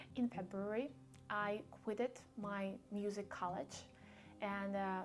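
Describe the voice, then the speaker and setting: A woman speaks with a Russian accent. Her intonation stays fairly even. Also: medium pitch for a woman, fairly slow pace. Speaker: vlogger. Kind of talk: casual vlog talk. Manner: halting, many fillers.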